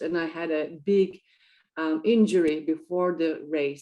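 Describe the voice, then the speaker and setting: A woman speaks with a non-native accent. Her pitch sits fairly low. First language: not English. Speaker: entrepreneur and triathlete. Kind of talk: interview. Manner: hesitant, many fillers.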